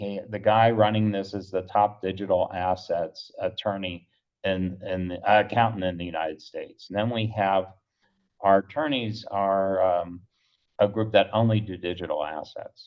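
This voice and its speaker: Here is a man with an unremarkable speaking voice and a fairly low pitch. He keeps a moderate pace and fairly even intonation. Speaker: startup founder pitching. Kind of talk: pitch presentation.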